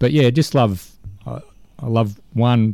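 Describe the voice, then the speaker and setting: A dark, mellow tone with ordinary pitch variation, dry and close with no echo, in a very clean recording over a silent background. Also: man. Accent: Australian. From Melbourne's west, Australia. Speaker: sports director and coach. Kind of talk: interview.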